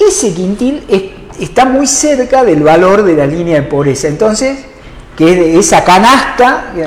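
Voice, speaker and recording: Through noticeable background noise and audible room echo, a man speaks fairly slowly in a high voice with very wide pitch swings. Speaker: economist. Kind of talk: interview. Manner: halting.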